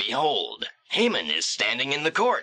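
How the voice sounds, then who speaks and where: A put-on character voice from a man at a moderate pace. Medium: audio drama. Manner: respectful, formal.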